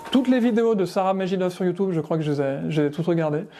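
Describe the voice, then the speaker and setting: Music plays in the background. The pitch varies in an ordinary way. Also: man. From France, Savoie. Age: 40s. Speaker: amateur musician. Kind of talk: interview. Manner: hesitant, with many fillers.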